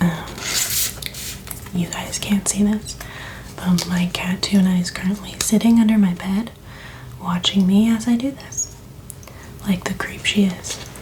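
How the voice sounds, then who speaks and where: The voice is soft-spoken, at a fairly slow pace with long, frequent pauses. Noticeable background noise sits behind it. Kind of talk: ASMR, soft-spoken talk to camera. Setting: close ASMR microphone.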